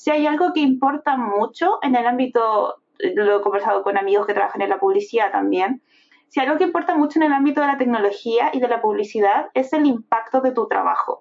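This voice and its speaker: A woman with a Chilean accent, high-pitched, with lively intonation, a fairly quick pace and very even loudness. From Chile, Viña del Mar. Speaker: product designer. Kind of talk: casual interview.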